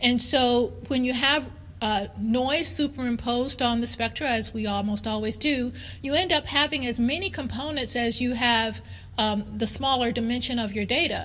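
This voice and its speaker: A woman's high-pitched, bright, sharp voice with ordinary pitch variation and audible room echo. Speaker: chemistry professor. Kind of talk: conference lecture. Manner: fast.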